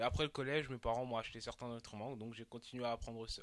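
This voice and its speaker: At a very fast pace, a man with a medium-pitched voice speaks with fairly even intonation. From Côte d'Ivoire, Abidjan, moved to France at 11. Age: 20s. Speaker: young musician. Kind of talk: interview.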